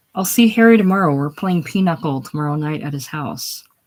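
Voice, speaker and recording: In a put-on character voice at middle pitch, the speaker mumbles at a fairly quick pace on a very clean recording with a silent background. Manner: mumbling.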